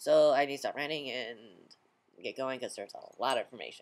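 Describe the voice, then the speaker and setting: Talking at a very fast pace, a man speaks in a fairly high voice. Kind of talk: video diary. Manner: halting, many fillers.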